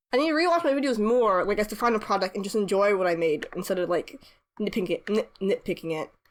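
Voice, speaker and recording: The recording is very clean, with a silent background. The speaker uses lively intonation at a fairly quick pace. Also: woman. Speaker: webcomic artist and YouTuber. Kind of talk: casual chat while drawing. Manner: fast; halting, many fillers and restarts.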